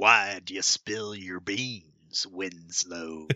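With a very deep, low pitch, a man performs in a put-on character voice. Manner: gruff, theatrical.

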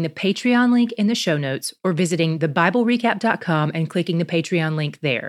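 A woman speaks in a plain, everyday voice at a medium pitch with lively intonation. The recording is very clean, with a silent background. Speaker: podcast host. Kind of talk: fervent prayer; scripted prayer, sample preview. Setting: podcast, solo. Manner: earnest, heartfelt, pleading.

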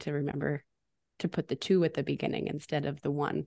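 A woman with an American accent and vocal fry, at a fairly quick pace, in a dry, close sound with no echo and a quiet background. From eastern Washington state, US. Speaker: birth center education coordinator. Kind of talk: casual interview chat.

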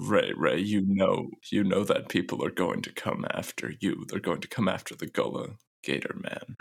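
A man speaks in a put-on character voice. His pace is moderate. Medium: actual play. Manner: grave, earnest.

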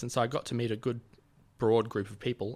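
A man with an Australian accent, medium pitch and a very fast pace. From Sydney, Australia. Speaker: podcast guest. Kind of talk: casual chat. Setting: studio.

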